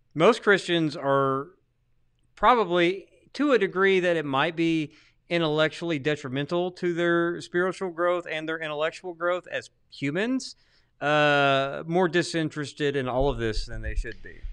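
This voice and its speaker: Against a quiet background, a man with a high voice talks at a moderate pace with ordinary pitch variation. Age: 40s. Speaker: podcast co-host, theologian. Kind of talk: casual chat. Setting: livestream studio. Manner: mumbling.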